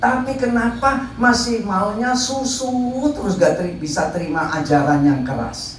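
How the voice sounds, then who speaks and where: A fairly slow pace with noticeable background noise. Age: 70s. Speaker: pastor. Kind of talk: sermon.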